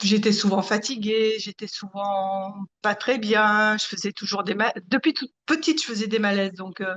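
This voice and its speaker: Fairly slow, fairly even intonation, in a dry, close sound with no echo. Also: woman, medium pitch for a woman. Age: 60s. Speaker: consumer giving testimonial. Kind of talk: interview testimony. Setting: video call. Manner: hesitant, many fillers.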